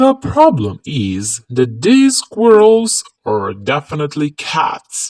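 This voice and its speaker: A put-on character voice at a middle pitch, very slow, with hardly any pauses. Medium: read story. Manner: calm, matter-of-fact.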